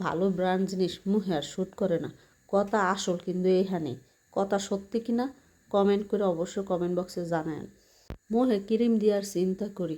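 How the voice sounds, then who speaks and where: With a Bangladeshi accent, a woman speaks at medium pitch in a dark, mellow tone with fairly even intonation, on a very clean recording with a silent background. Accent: Bangladeshi regional dialect. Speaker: vlogger. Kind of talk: casual vlog monologue. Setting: bathroom.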